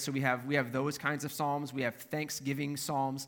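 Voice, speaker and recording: Fairly high in pitch, this man has an American accent and a bright, sharp tone. His pace is moderate, and the recording is very clean with a silent background. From Minnesota. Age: 40s. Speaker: pastor. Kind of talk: sermon. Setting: church.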